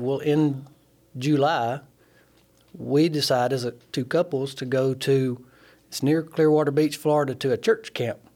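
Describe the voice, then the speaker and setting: With an Alabama accent, a man with a fairly high pitch talks at a moderate pace, his intonation fairly even and his speech marked by long, frequent pauses. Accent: Southern US (Alabama). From US South, Alabama (Sheffield). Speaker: nuclear plant instrument mechanic. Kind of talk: testimony.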